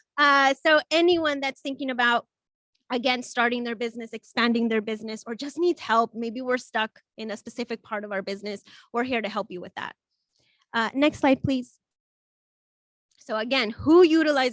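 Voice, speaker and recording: Recorded very cleanly against a silent background, a woman's high-pitched voice shows ordinary pitch variation in a dry, close sound with no echo. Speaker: small business center presenter. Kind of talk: conference presentation. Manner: fast.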